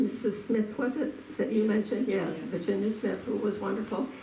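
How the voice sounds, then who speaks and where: A woman speaks at a fairly slow pace with a fairly high pitch. Audible room echo and noticeable background noise fill the recording. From Massachusetts North Shore, Cape Ann (Lanesville). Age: 80s+. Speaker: local elder sharing memories. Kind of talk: reminiscence, partly read from notes.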